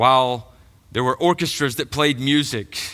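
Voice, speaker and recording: A man with a Georgia accent speaks at a moderate pace in a bright, sharp tone and a medium pitch. The recording is very clean, with a silent background. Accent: Southern American (Georgia). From US South, middle Georgia. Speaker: pastor. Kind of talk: sermon. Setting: church.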